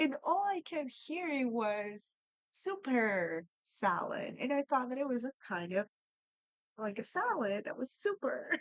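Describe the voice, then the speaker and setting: In a Spanish accent, a woman with a high voice talks at a fairly slow pace, her pitch swinging very widely. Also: dry, close sound with no echo. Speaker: language learning vlogger. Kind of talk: casual storytelling. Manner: conversational, with fillers.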